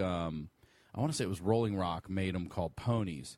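With an American accent, a man talks at a fairly quick pace in an unremarkable speaking voice with ordinary pitch variation. The recording is very clean, with a silent background. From Baltimore County, Maryland, US. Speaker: comedian and podcaster. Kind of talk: casual chat.

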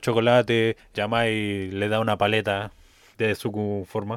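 A man with a Chilean accent. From Chile, Rancagua. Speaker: podcast co-host. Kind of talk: casual chat.

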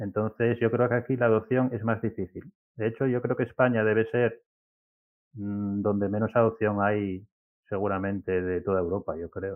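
Fairly low in pitch, a man with an ordinary speaking voice keeps fairly even intonation at a moderate pace. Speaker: software developer and platform founder. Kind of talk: interview.

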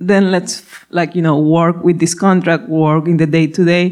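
A woman with a Spanish accent talks in a fairly low pitch. Her pace is fairly slow. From Ecuador. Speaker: food startup CEO. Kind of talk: live panel interview. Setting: stage with audience.

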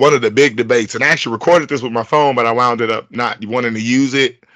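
A medium-pitched man's voice with an American accent, over a quiet background. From Chicago suburbs, Illinois. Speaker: podcast host. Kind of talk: casual chat. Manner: fast-talking; animated, frequent laughter.

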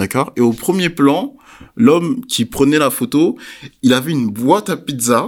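On a very clean recording with a silent background, a man with fairly high pitch talks at a fairly slow pace, his pitch swinging very widely. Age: 20s. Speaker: podcast host. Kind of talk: casual discussion.

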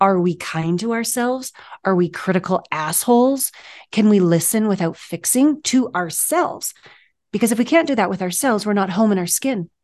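A woman with an unremarkable speaking voice talks at a medium pitch and moderate pace, her intonation lively, over a quiet background. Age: 50s. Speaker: intimacy coach and author. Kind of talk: casual interview chat.

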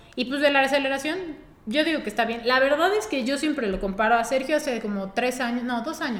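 Amid audible room echo and noticeable background noise, a woman talks very fast at a high pitch with ordinary pitch variation. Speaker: car podcast co-host. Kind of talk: casual chat.

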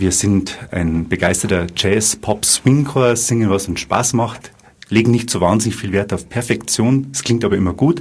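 A man speaks at a moderate pace with a fairly low pitch. His pitch varies in an ordinary way, and he has an unremarkable speaking voice. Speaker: bank advisor and amateur saxophonist. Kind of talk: live radio interview.

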